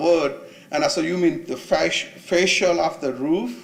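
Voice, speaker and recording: A man speaks with a non-native accent and ordinary pitch variation over noticeable background noise. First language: not English. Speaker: property owner, small business owner. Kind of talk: public hearing testimony.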